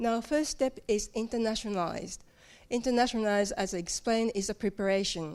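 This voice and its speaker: Fairly quick delivery with a Japanese accent, very even loudness and ordinary pitch variation, on a very clean recording with a silent background. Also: woman, fairly high pitch for a woman. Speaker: localization team member at a software company. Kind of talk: conference talk. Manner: halting.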